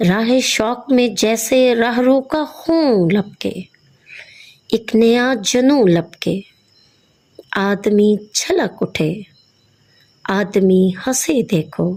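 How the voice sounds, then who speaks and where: Here a woman talks in an unremarkable speaking voice, fairly high in pitch. The recording is very clean, with a silent background. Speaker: Urdu lecturer. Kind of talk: poetry reading.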